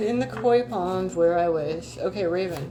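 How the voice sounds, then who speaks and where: With music in the background and audible room echo, a woman speaks at a fairly low pitch with very wide pitch swings. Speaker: YouTuber doing card readings. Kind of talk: casual livestream chat with oracle card reading. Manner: fast; animated.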